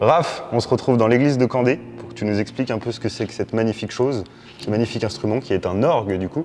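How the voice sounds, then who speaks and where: A man talks at a very fast pace with a medium pitch and ordinary pitch variation. Noticeable background noise sits behind him. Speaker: video host and interviewer. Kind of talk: casual interview questions.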